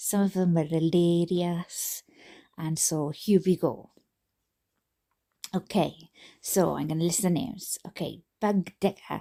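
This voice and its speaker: A woman with a Welsh accent, fairly low in pitch with a dark, mellow tone, fairly even intonation, a fairly slow pace and long, frequent pauses, on a very clean recording with a silent background. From Wales. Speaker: YouTube reader. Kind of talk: casual chat. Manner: halting.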